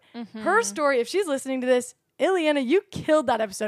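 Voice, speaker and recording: Lively intonation marks a woman's high voice at a fairly quick pace. The recording is very clean with a silent background. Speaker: barista and social media coordinator sharing testimony. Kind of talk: personal testimony; reading scripture aloud.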